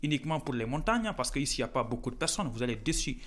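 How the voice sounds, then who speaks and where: A man with a Senegalese accent speaks at a fairly high pitch. His intonation is lively. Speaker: student vlogger. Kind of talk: casual vlog talk. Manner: halting, many hesitations.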